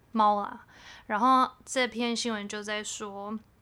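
The tone is bright and sharp, on a very clean recording with a silent background. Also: woman. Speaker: podcast co-host. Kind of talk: casual chat. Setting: home bedroom recording. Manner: subdued, low-energy delivery.

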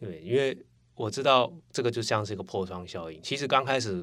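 On a very clean recording with a silent background, a man with an ordinary speaking voice talks at a fairly quick pace. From Taiwan, Taipei. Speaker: former coworker of host. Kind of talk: casual chat.

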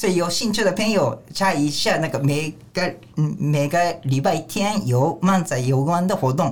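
Speaking with a Japanese accent, a man uses a high pitch and lively intonation at a moderate pace, keeping his loudness very even. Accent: Japanese-accented Mandarin. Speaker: manzai comedian. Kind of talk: casual chat.

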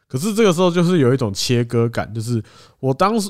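A man talks at a fairly quick pace with very wide swings in pitch. The recording is very clean and the background silent. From Taiwan. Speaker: podcast co-host. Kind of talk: casual chat.

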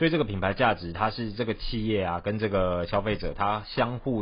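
A man speaks with a Taiwanese accent in a fairly low pitch. His voice is somewhat breathy and moves at a fairly quick pace. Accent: Taiwanese Mandarin. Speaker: podcast co-host. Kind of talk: casual chat.

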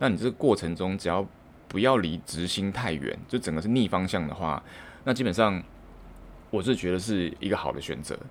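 Talking at a fairly quick pace with lively intonation, a man with a Taiwanese accent has a very deep, low pitch. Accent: Taiwanese Mandarin. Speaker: podcaster, office worker. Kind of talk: solo monologue. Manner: halting, many fillers.

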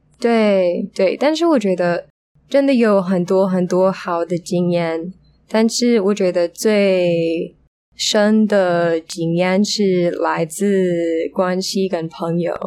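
A woman speaks at a very slow pace in a medium pitch with ordinary pitch variation. Her tone is dark and mellow, with very even loudness. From United States. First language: English (speaking Chinese). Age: 20s. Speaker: language student. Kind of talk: casual interview. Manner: halting.

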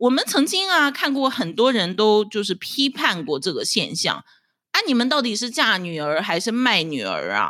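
A woman with a bright, sharp tone and vocal fry speaks at a fairly high pitch and a moderate pace, her pitch swinging very widely. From China, Dalian (northeast). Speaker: podcast host, housewife. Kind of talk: solo casual commentary.

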